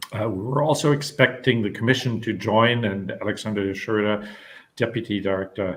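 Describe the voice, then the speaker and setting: A man's voice sits at a medium pitch, and his intonation is fairly even. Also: moderate pace. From Germany. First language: German. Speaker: panel moderator. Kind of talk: webinar panel moderation. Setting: online webinar. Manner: halting, many fillers.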